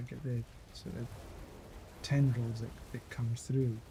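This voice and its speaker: A man with a Scottish accent, relaxed in tone, with fairly even intonation and a fairly slow pace. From Scotland. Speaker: gaming streamer. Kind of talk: casual gameplay commentary. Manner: halting, repeats words.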